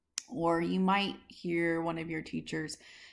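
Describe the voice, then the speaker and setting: On a very clean recording with a silent background, a woman uses an ordinary speaking voice, talking at a fairly slow pace and a fairly low pitch. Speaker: teacher. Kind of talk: recorded lesson.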